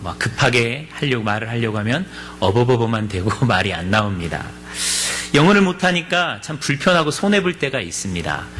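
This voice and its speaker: A man of medium pitch talks at a moderate pace with very wide pitch swings. Noticeable background noise and audible room echo are present. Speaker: pastor. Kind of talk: sermon.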